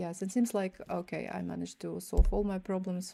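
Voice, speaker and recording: A woman with a Russian accent speaks at a moderate pace. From Kyrgyzstan. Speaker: chess streamer and coach. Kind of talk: live chess stream commentary. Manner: halting, with frequent repetitions.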